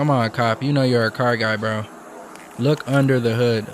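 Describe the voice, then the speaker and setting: At a moderate pace, a man talks in an ordinary speaking voice with medium pitch and fairly even intonation. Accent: American. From Michigan. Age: 20s. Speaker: YouTuber reacting to police chase videos. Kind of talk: casual reaction commentary. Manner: casual, conversational.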